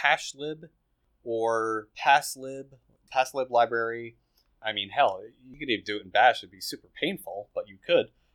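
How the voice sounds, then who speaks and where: There is an unremarkable speaking voice from a man at a moderate pace, with ordinary pitch variation and a dry, close sound with no echo. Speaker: podcast host. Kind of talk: casual banter with technical discussion. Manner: joking, playful.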